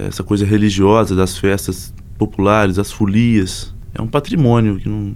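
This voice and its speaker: An unremarkable speaking voice from a man, moderate in pace, fairly low-pitched, its intonation fairly even. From Minas Gerais, Zona da Mata (Abre Campo). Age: young. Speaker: singer-songwriter and guitarist. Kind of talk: casual interview.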